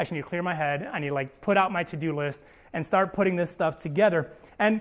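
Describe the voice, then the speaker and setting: The man's delivery moves along at a fairly quick pace. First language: not English. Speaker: pastor. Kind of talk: sermon. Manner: casual, filler-heavy (like, um).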